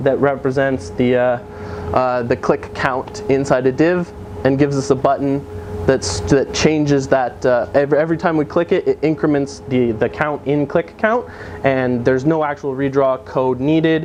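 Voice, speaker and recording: A man speaks at a moderate pace in a fairly high pitch, his intonation lively. Noticeable background noise sits behind him. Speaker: software developer giving a meetup talk. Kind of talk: technical conference talk. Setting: meetup with live audience. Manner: halting, many fillers.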